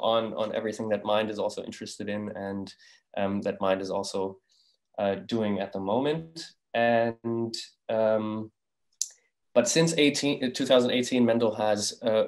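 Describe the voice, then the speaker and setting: Against a quiet background, the speech shows ordinary pitch variation and long, frequent pauses. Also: man. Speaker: event host. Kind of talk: speaker introduction. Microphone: video call.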